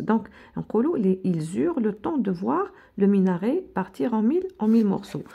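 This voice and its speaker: An Algerian accent at a fairly slow pace, somewhat breathy and dark, mellow in tone, with very wide pitch swings over a quiet background. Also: woman. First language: Algerian Arabic (speaking French). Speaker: teacher. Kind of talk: lecture; tutorial. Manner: code-switching Arabic and French; halting, repetitive. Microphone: phone near.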